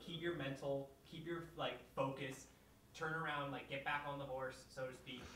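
Noticeable background noise behind a man's fairly high pitch and fairly even intonation. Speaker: documentary interviewer. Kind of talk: interview questions. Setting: filmed interview with boom mic.

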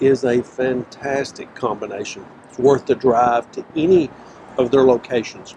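Fairly slow, fairly even speech from a man, dry with no echo, over noticeable background noise. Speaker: food show host. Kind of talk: food review commentary. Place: street. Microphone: lapel.

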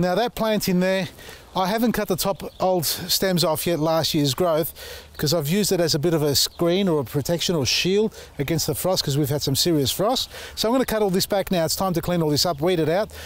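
Here a man speaks at a high pitch with ordinary pitch variation. The sound is dry with no echo. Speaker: gardening channel host. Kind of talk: casual gardening tutorial. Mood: relaxed, cheerful. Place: garden.

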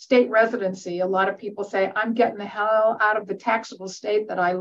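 A woman talks with an American accent at a medium pitch. Her intonation stays fairly even. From US Midwest. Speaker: tax professor, retired accountant; professor presenting webinar. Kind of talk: webinar lecture. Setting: online webinar. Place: office. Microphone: webcam.

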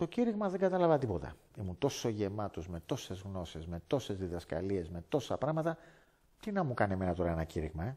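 A man's fairly low, dark, mellow voice moves at a fairly quick pace with very wide pitch swings. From Greece, Athens area (Lavrio); Greece. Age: 50s. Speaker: former martial arts teacher. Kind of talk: testimony. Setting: indoors by a fireplace. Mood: earnest, animated storytelling. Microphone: headset.

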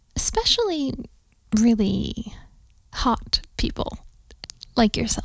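A put-on character voice from a woman, slow and fairly high-pitched, with big pitch swings and vocal fry.

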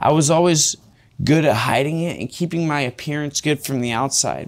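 With a Californian accent, a man of fairly high pitch speaks at a moderate pace with ordinary pitch variation. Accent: Californian American English. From California, Fresno. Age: 20s. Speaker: recovering drug addict interviewee; interviewee. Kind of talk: interview, personal life story. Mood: rueful, candid, emotional. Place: studio. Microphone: lapel.

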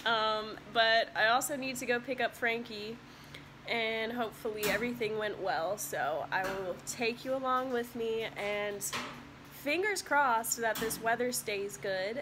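A woman talks at a fairly slow pace with ordinary pitch variation. Noticeable background noise runs under her voice. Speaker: vlogger. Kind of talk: casual vlog chat. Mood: relaxed, cheerful. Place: home room. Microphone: phone near.

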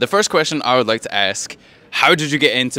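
With a bright, sharp tone and lively intonation, a man talks at a very fast pace in a dry sound with no echo. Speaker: YouTube video essayist; interviewer, channel host. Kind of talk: casual interview. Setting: recording in Bristol, sharing one microphone. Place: waterside. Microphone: handheld.

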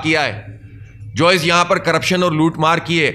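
The man's voice sits at a high pitch. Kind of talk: press statement. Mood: critical, indignant. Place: hall. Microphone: podium.

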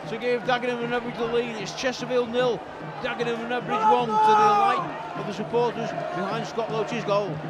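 Over music in the background, a warm-toned voice speaks at a moderate pace. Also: man. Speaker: match commentator. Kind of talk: live football commentary. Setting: stadium press box at the match. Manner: conversational, warm asides between bursts of action.

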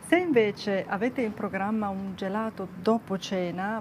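A woman at a fairly slow pace over light background noise. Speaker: nutrition vlogger. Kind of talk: casual vlog chat. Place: street. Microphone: lapel.

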